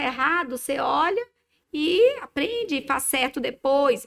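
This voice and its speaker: The woman's voice is high in pitch. It swings very widely up and down. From Minas Gerais, Brazil. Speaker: dermatologist. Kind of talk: casual podcast chat. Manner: hesitant, many fillers.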